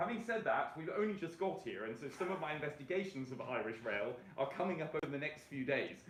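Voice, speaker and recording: A man with a British accent talks very fast with lively intonation. There is noticeable background noise and audible room echo. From Britain. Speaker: rail transport campaigner. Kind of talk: presentation. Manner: halting, many fillers.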